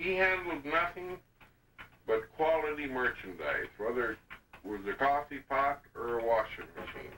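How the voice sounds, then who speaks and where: Lively intonation carries a man's fairly high pitch. He has a plain, everyday voice and speaks at a fairly slow pace. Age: 60s. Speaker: family oral historian. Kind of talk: oral history storytelling. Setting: home video recording.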